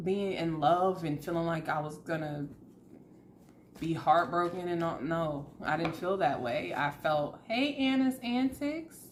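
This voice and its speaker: A woman speaks with an American accent in a fairly low voice. Her intonation is lively. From US South. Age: 30s. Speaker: tarot reader. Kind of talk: casual chat. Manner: animated.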